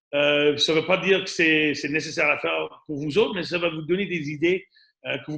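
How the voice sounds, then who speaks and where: The delivery comes at a moderate pace, bright and sharp in tone, with fairly even intonation. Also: man. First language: English (speaking French). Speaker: radon mitigation and home inspection business owner. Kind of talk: webinar presentation. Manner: halting, many fillers and repetitions.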